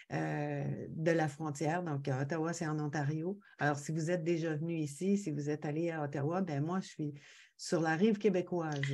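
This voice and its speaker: A woman talks at a moderate pace in a very deep, low pitch with a dark, mellow tone. Her intonation is fairly even, and the background is quiet. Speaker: podcast guest. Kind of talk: casual interview chat. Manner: hesitant, many fillers.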